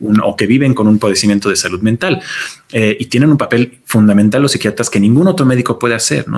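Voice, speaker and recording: Talking at a fairly quick pace, a man uses a fairly low pitch with ordinary variation. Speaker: geriatrician. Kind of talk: interview. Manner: halting.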